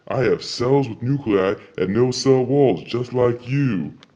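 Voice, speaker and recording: Keeping a moderate pace and a medium pitch, a man speaks in a put-on character voice. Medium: read story.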